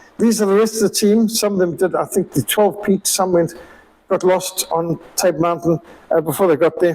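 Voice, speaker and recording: His pitch varies in an ordinary way. The speaker is a man. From Rhodesia (Zimbabwe). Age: 60s. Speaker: missionary. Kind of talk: illustrated talk with slides. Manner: conversational, with fillers.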